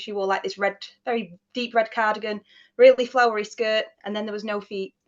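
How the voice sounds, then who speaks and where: A woman talks at a fairly quick pace in a Mancunian accent. Her medium-pitched voice stays monotone and flat. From Manchester area, England. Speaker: paranormal investigator. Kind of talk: casual interview, storytelling.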